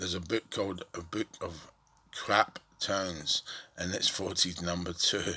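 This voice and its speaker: With a Scottish accent, a man is talking. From Scotland, Cumbernauld near Glasgow. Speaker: vlogger telling his life story. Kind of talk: personal testimony monologue. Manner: halting.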